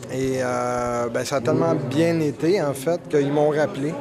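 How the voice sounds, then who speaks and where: A man with a Quebec accent, very slow delivery and fairly even intonation, over noticeable background noise. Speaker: stand-up comedian. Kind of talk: interview. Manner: hesitant, many fillers.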